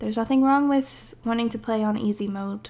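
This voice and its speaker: Quite fast delivery, pitch moving in a normal way. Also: woman. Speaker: gaming video creator playing an indie game. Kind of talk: casual, with swearing. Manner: casual, chatty, self-deprecating.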